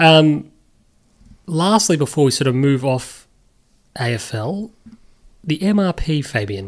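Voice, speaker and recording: A man talks at a very slow pace, with long, frequent pauses. His pitch is fairly high and swings very widely. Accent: Australian. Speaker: podcast host. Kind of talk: casual sports banter.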